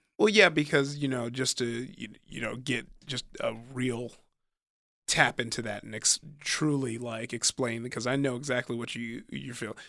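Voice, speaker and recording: Bright and sharp in tone, a man talks at a moderate pace with a Southern Californian accent and fairly even intonation. The recording is very clean, with a silent background. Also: medium pitch for a man. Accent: Southern California American. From US West Coast, Compton and Long Beach, California. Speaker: stand-up comedian. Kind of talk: casual chat.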